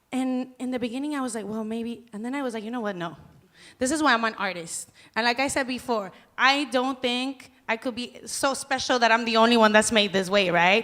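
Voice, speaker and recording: A woman speaks with a fairly high pitch, a bright, sharp tone and ordinary pitch variation. The recording is very clean, with a silent background. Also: fairly quick pace. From Mexico City. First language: Spanish. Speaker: banda singer. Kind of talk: panel discussion.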